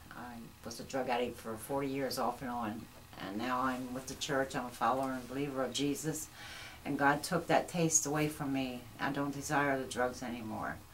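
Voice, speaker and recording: With an American accent, a woman speaks at a very deep, low pitch and a moderate pace, her intonation fairly even. Room echo is audible, and background noise is noticeable. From York, Pennsylvania, US. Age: 60s. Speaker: recovering addict, church member. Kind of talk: testimony.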